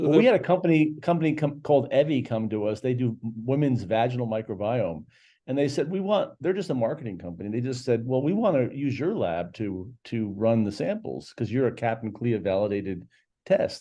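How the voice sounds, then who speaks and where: A man speaks in a dark, mellow tone with very wide pitch swings over a quiet background. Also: medium pitch for a man, fairly quick pace. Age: 60s. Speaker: CEO of a medical testing company. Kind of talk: interview. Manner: halting.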